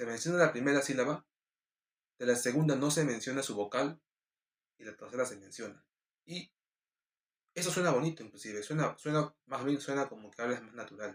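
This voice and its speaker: At a fairly quick pace and medium pitch, a man talks with ordinary pitch variation, big swings in loudness and long, frequent pauses. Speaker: preacher. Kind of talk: casual explanation; devotional sermon. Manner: drops syllables when speaking fast; hesitant fillers.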